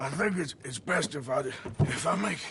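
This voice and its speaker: In a raspy, put-on character voice, a man talks at a high pitch and moderate pace with lively intonation. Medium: video game. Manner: gruff, terse, drawling.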